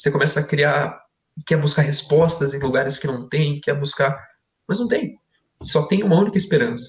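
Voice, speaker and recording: A man speaks at a fairly quick pace in a fairly high, somewhat breathy voice. His pitch varies in an ordinary way. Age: 20s. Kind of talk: podcast discussion, testimony. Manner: conversational, informal.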